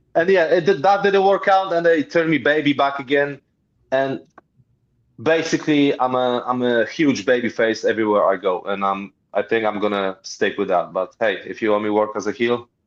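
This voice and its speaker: A man with a Polish accent talks with very wide pitch swings. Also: fairly high pitch for a man, moderate pace. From Poland. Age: 50s. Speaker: pro wrestler. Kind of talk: interview.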